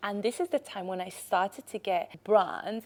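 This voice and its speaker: A woman speaks with a Spanish accent at a moderate pace. Her pitch is medium and varies in an ordinary way. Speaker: podcast host, content creator. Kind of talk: casual monologue, storytelling.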